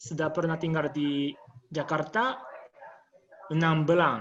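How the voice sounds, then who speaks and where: A man with a Japanese accent talks in a fairly high pitch, with ordinary pitch variation. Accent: Japanese accent in Indonesian. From Japan, childhood in Malaysia. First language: Japanese (speaking Indonesian). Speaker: interview guest. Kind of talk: casual interview.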